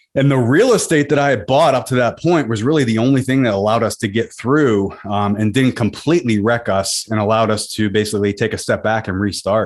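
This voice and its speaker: A man's normal speaking voice at a medium pitch, with very even loudness and hardly any pauses. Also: ordinary pitch variation, fairly quick pace. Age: 40s. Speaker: real estate investor. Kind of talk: interview.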